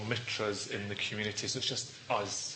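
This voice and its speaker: A man with a Scottish accent talks at a medium pitch. Noticeable background noise and audible room echo surround his voice. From Scotland. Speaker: Buddhist teacher. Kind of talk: dharma talk. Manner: fast; clearly enunciated.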